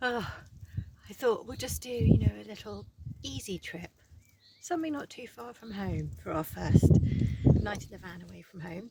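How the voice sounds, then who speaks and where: A woman talks over noticeable background noise. Her loudness swings widely, and she leaves long, frequent pauses. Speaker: vlogger and artist. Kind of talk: casual vlog narration.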